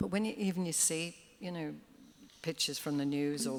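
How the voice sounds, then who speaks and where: With a Liverpool accent, a woman talks at a fairly quick pace. Her pitch sits fairly low. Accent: Scouse. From Liverpool, England. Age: 70s. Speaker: singer. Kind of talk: live interview. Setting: stage with audience.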